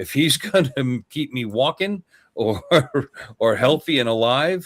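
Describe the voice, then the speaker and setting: A man's fairly high voice, lively in its intonation and fairly slow in pace. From New York City and northern New Jersey. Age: 60s. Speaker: vlogger. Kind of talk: casual chat.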